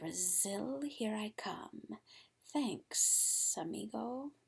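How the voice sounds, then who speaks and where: Using a put-on character voice, a female-sounding voice at a medium pitch speaks at a very slow pace. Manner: casual, cheerful.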